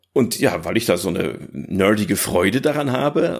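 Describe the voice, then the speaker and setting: In a very clean recording with a silent background, a man speaks with a slight northern German accent. His fairly low voice has lively intonation. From northern Germany. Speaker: former games hardware journalist. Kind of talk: podcast interview.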